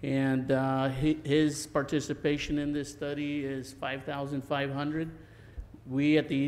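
The delivery is fairly slow, in a monotone, flat intonation. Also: man. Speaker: council presenter. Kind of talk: presentation to council. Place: hall. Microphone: podium.

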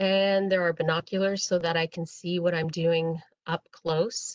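Someone speaks at a fairly slow pace over a quiet background. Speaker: presenter. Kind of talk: webinar presentation explaining equipment. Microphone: video call.

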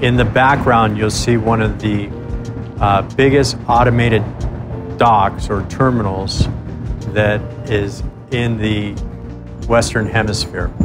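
A man talks at a fairly slow pace, with long, frequent pauses. Music plays clearly in the background. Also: fairly even intonation. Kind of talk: interview answer. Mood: calm, serious. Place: waterside.

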